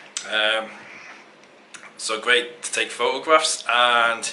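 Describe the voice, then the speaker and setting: A man mumbling at a very slow pace in an English accent, with audible room echo. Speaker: travel photography vlogger. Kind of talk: casual vlog to camera.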